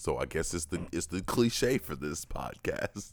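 A man's voice carries vocal fry in a very clean recording with a silent background. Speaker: podcast co-host. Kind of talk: casual banter, comedic chat.

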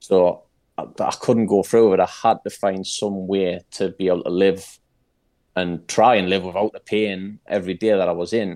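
With a Geordie accent, a man speaks at a moderate pace in a fairly low pitch, his tone dark and mellow and his intonation monotone and flat, over a quiet background. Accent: Geordie (Newcastle) English. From Newcastle, northern England. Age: 30s. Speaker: mental health advocate. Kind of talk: casual chat.

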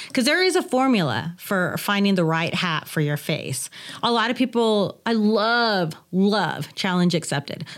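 Animated in tone, a woman speaks at a medium pitch with lively intonation. Her pace is fairly slow. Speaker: hat shop owner. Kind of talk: casual interview chat. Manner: animated, laughs a lot, jokey.

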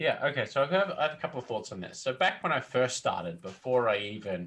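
An enthusiastic, energetic man with an Australian accent, medium pitch, lively intonation, and a moderate pace. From country Australia. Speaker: tabletop game designer, interview guest. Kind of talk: casual conversational. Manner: chatty, natural conversationalist.

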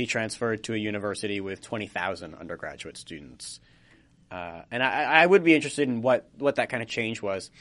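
A man in an ordinary speaking voice at medium pitch, with lively intonation, a fairly quick pace and big swings in loudness against a quiet background. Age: 20s. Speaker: college podcast host and editor. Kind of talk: casual chat. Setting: studio.

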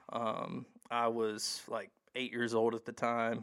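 Monotone and flat, a man's voice sits at medium pitch. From Mississippi. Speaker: guest. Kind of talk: casual chat.

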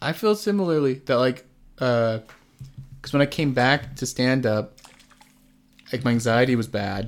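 An ordinary speaking voice from a man at medium pitch, fairly slow, with ordinary pitch variation. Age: 20s. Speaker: stand-up comedian. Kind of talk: casual chat.

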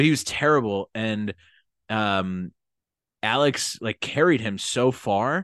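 Over a quiet background with a dry, close sound and no echo, a man with an American accent talks at a very slow pace, using long, frequent pauses and lively intonation. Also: medium pitch for a man. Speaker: podcast co-host. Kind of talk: casual chat.

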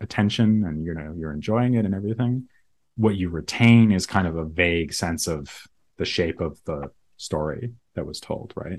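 A man with an American accent talks at a moderate pace and ordinary pitch variation against a quiet background. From US, Boston area (Massachusetts). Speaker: philosopher. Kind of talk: interview.

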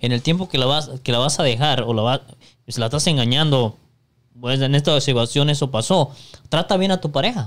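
A man's unremarkable speaking voice, fairly high in pitch, with ordinary pitch variation, very even loudness and a fairly quick pace. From Mexico. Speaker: podcast co-host. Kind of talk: casual chat.

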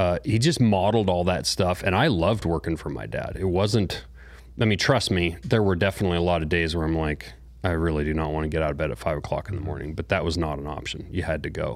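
With an American accent, a man speaks at a very fast pace in a very deep, low pitch. His intonation is lively, and vocal fry runs through his voice. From Montana. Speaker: bladesmith, knife company founder. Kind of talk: casual interview.

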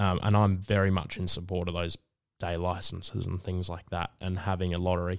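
With an Australian accent, a man with a very deep, low pitch talks fairly quickly in a monotone, flat delivery on a very clean recording with a silent background. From Melbourne, Australia (Northcote). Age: 20s. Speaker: fly shop staff member and university student. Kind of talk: casual interview.

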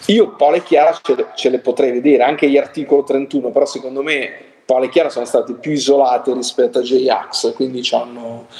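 Fairly quick delivery in a normal speaking voice, with ordinary pitch variation. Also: man, fairly high pitch for a man. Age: 50s. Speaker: music critic. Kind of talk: casual chat.

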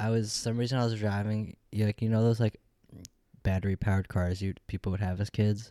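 With monotone, flat intonation, the man talks in a fairly low register. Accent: Upstate New York. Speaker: podcast co-host. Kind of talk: casual chat. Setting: home studio.

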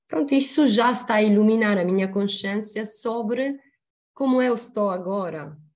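A woman with an Italian accent talks at a moderate pace and medium pitch, with ordinary pitch variation, against a quiet background. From Sicily, Italy. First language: Italian (speaking Portuguese). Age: 40s. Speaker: human resources professional. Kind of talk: casual interview chat.

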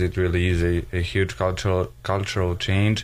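A man speaks with a Serbian accent and a very deep, low pitch. His intonation is fairly even. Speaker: college student athlete. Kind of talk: radio interview. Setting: studio.

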